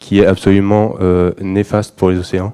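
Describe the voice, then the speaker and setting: The voice has a dark, mellow tone and monotone, flat intonation at a moderate pace, recorded dry and close with no echo. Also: man. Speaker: environmental activist giving a talk. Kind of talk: conference presentation. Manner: halting, many fillers.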